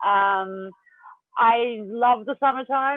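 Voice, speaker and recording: With an Australian accent, a woman talks, her pitch varying in an ordinary way. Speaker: mental health speaker. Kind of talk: presentation. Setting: video call.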